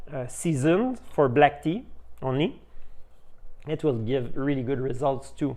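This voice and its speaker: A man with a French accent, fairly high in pitch, at a fairly slow pace. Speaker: tea shop owner. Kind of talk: tutorial. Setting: tea house. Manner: halting, many fillers.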